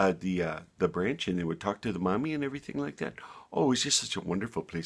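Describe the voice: The intonation sounds lively. It is plain reading aloud.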